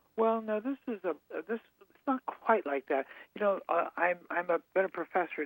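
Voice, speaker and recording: Moderate-paced male speech, dry and close with no echo. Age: 80s+. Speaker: author and psychiatry professor. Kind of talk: interview. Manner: halting.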